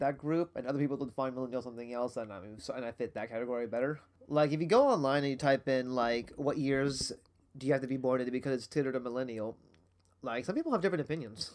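A man talks at a very fast pace. His pitch sits in the medium range with ordinary variation. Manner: fast talker.

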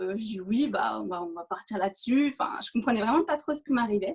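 Her voice is fairly high and somewhat breathy. This woman speaks at a fairly quick pace. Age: 20s. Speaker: race walker. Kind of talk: interview.

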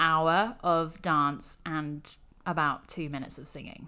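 Speaking at a very slow pace, a woman with a fairly low pitch has a bright, sharp tone on a very clean recording with a silent background. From England. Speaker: actor. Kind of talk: casual chat.

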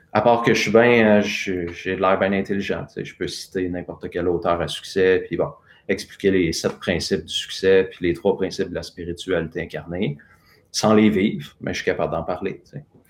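In a Quebec accent, a man speaks with a very deep, low pitch. His pace is moderate and his intonation fairly even. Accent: Québécois French. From Quebec, Lanaudière. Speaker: personal transformation coach. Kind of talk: live interview with guided exercise. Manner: spontaneous.

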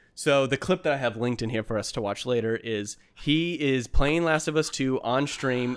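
In a very clean recording with a silent background, an unremarkable speaking voice talks at a moderate pace, its pitch varying in an ordinary way. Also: man. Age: 30s. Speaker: podcast co-host. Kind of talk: casual chat.

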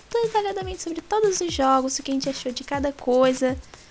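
Very fast and full of very wide pitch swings, a woman talks with a Brazilian accent. Noticeable background noise is present. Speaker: gaming podcast co-host. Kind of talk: casual chat.

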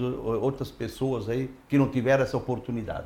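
The man's voice is somewhat breathy. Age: old. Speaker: mayoral candidate. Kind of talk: interview.

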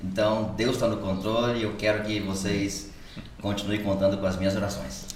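A man's fairly low voice with fairly even intonation at a moderate pace, amid noticeable background noise and audible room echo. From São Paulo state interior, Brazil (Piraju). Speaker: church leader, pastor. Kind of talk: casual chat, testimony.

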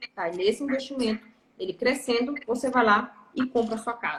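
Her voice is high-pitched as this woman speaks at a moderate pace. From Brazil, interior of Pará. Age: 30s. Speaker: financial educator. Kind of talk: live stream interview.

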